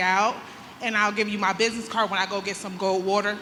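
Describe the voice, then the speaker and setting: A woman with an American accent speaks with fairly even intonation. Audible room echo and noticeable background noise are present. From New York. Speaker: real estate agent. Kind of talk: audience question time. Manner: loud.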